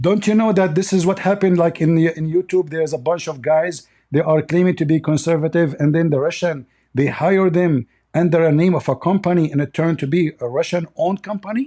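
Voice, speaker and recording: A man with an Arabic accent talks at a fairly quick pace in a high pitch, with a dark, mellow tone and ordinary pitch variation. The recording is very clean, with a silent background. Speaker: religious debater. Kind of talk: heated debate. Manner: animated.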